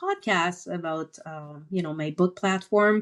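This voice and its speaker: A woman talks fairly slowly with ordinary pitch variation, the background around her quiet. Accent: French Canadian. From Quebec, French Canada. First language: French. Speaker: entrepreneur and author. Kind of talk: podcast interview. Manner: halting, many fillers.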